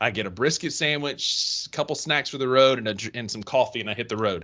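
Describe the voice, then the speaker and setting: A man with a Mississippi accent, a bright, sharp tone and a fairly quick pace, against a quiet background. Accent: country Mississippi. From northern Mississippi (Kossuth area). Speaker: sports podcast co-host. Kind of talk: casual chat.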